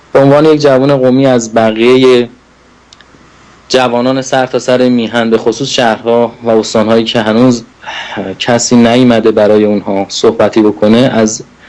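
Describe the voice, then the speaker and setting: A man talks at a moderate pace and medium pitch, with monotone, flat intonation and very even loudness. Noticeable background noise is audible. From Iran, Qom. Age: 30s. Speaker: political activist. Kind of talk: political address.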